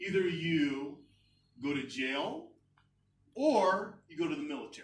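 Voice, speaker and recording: A man with an American accent speaks at a fairly slow pace. Audible room echo surrounds his voice. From United States. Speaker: educator and guest speaker. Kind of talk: speech to a club meeting. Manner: casual, with many fillers and restarts.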